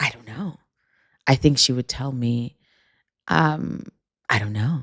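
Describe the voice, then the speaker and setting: The speaker has a New York accent and a fairly slow pace. The intonation is lively, and the loudness swings widely. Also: woman, very deep, low pitch for a woman. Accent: New York American. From Jamaica, then New York from age four. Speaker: author and podcast host. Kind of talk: casual conversation interview. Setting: recorded in person in Paris.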